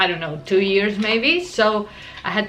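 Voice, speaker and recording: A woman with an Argentine accent speaks at a fairly high pitch and a moderate pace. Audible room echo and noticeable background noise surround her voice. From Argentina, Buenos Aires. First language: Spanish. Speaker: art vlogger. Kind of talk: casual vlog talk.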